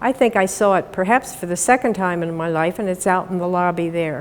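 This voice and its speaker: Noticeable background noise sits under a woman with an American accent and a medium pitch. She keeps a moderate pace with ordinary pitch variation. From Pennsylvania. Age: 70s. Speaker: invited speaker. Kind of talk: public talk.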